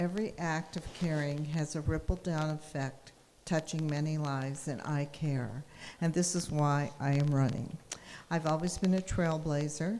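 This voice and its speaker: This woman has a very deep, low pitch, a dark, mellow tone and an American accent. Her intonation stays fairly even at a moderate pace. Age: 80s+. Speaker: political candidate. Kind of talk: candidate forum. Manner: halting.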